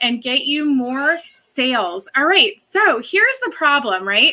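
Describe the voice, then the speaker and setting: A woman speaks in a raised, projected voice with a bright, sharp tone. Her pitch is high and her pace fairly slow. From Massachusetts. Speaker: social media coach. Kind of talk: live video tutorial. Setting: live stream.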